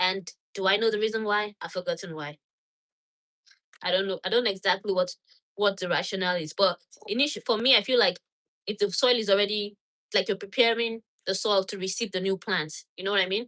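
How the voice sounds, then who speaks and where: A woman with a Nigerian accent, a bright, sharp tone and a medium pitch, fairly quick but with long, frequent pauses, fairly even intonation, in a dry, close sound with no echo. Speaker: gardening channel host. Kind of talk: live stream tutorial with Q&A. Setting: home laundry room.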